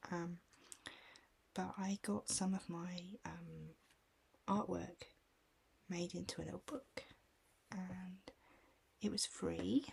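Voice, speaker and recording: Soft-spoken and gentle in tone, a woman talks very slowly with long, frequent pauses. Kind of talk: ASMR self-care picture book walkthrough. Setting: casual talk to camera, cosy relaxation. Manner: soft-spoken, gentle, calming.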